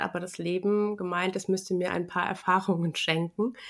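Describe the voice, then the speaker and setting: On a very clean recording with a silent background, a woman speaks at medium pitch in a monotone, flat intonation. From Rheinhessen, Germany. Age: 40s. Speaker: yoga and ayurveda teacher. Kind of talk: interview.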